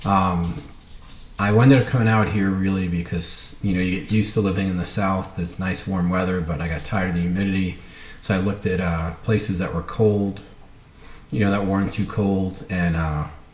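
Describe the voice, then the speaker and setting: Over noticeable background noise and audible room echo, a man speaks at a fairly quick pace. His pitch is very deep and low, with fairly even intonation. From US Northeast, Brooklyn, New York. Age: 40s. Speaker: cardiologist and business student. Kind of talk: self-introduction video. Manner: casual, many fillers.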